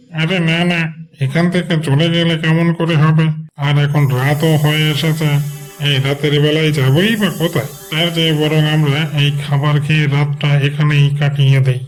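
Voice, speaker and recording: A man uses a cartoonish character voice with a fairly high pitch, monotone, flat intonation and very even loudness at a moderate pace. Background noise is clear. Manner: coaxing, calculating.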